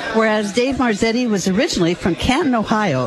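A woman's fairly high, lively voice over crowd noise in the background. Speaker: local official presenting a resolution. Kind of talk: reading a proclamation and chatting. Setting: live event in a noisy room.

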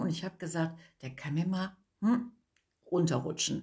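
A somewhat breathy woman's voice at a moderate pace. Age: 50s. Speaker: cosmetics entrepreneur, women's network founder. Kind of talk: casual interview chat.

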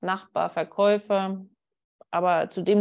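A woman's calm, soothing tone at a very slow pace, medium in pitch with monotone, flat intonation, over a quiet background. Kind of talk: guided meditation. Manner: calm, slow, soothing guidance.

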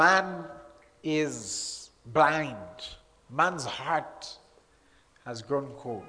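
Through noticeable background noise, a man speaks at a very slow pace with long, frequent pauses, his fairly high pitch showing ordinary variation. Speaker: pastor. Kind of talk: sermon. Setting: church with congregation. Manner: animated.

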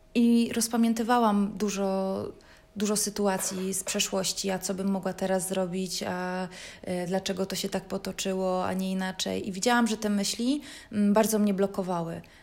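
In a very clean recording with a silent background, a woman speaks at a moderate pace and medium pitch with monotone, flat intonation. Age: 30s. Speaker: podcaster. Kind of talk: personal monologue. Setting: at home.

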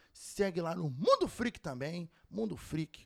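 A man's fairly slow speech with very wide pitch swings, dry and close with no echo. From Brazil, Rio de Janeiro. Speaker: podcast host and streamer. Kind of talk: show outro announcements; casual interview chat.

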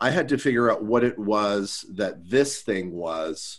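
Against a quiet background, a man with an American accent talks fairly slowly at a fairly low pitch. His intonation is lively, though he has an unremarkable speaking voice. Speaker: improviser. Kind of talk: panel discussion. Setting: video call.

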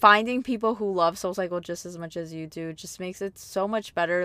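Using an ordinary speaking voice, a woman talks at a fairly quick pace with a medium pitch and ordinary pitch variation. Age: 20s. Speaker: podcast host. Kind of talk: casual monologue. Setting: in a parked car. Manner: chatty and rambling.

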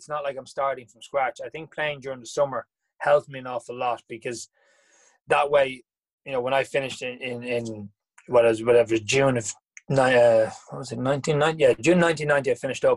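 A man talks at a very fast pace with an Irish accent. His pitch is medium. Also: fairly even intonation, big swings in loudness, dry, close sound with no echo. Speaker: former professional tennis player. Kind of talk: interview. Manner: halting.

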